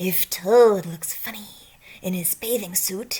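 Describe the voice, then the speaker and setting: A female-sounding voice performs a put-on character voice at a fairly slow pace. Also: medium pitch for a woman. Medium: read story.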